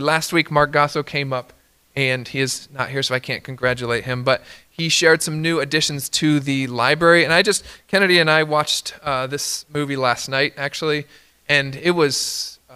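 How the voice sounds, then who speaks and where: A man talks at a fairly quick pace with a fairly high pitch and a bright, sharp tone. His intonation is fairly even against a quiet background. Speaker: pastor. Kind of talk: church announcements and prayer. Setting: church. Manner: hesitant, many filler words. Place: church. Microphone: podium.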